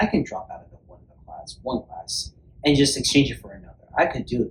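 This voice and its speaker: Over noticeable background noise, this man speaks at a fairly quick pace. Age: 20s. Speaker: student, interview guest. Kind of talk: casual interview.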